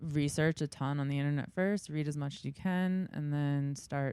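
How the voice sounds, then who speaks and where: At a moderate pace, a woman speaks in a very deep, low voice with a dark, mellow tone. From New York. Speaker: big game hunter. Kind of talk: casual interview chat.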